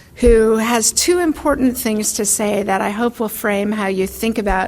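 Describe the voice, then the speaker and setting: A woman speaks with an American accent at a fairly high pitch and ordinary pitch variation. Noticeable background noise runs underneath. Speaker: foreign policy expert. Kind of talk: lecture. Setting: stage with audience. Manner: soft-spoken. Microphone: too quiet at first, turned up.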